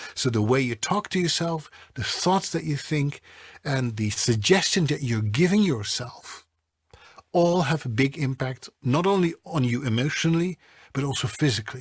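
Over a quiet background, a man with a fairly high pitch speaks at a moderate pace. He sounds somewhat breathy, with lively intonation. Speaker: voiceover artist and coach. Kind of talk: interview answer. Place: studio.

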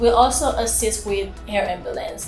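Clear music plays in the background while the speaker talks at a fairly slow pace. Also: woman. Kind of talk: interview answer. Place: office.

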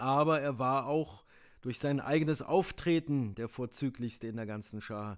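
A man with an ordinary speaking voice, fairly slow pace, ordinary pitch variation, and a very clean recording over a silent background. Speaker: audiobook narrator. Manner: measured, storytelling pace, formal.

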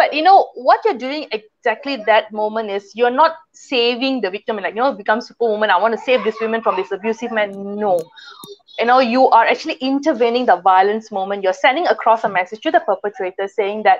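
A woman talks at a fairly quick pace. Her pitch varies in an ordinary way. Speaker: talk show guest. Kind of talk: interview answer. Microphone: earbuds.

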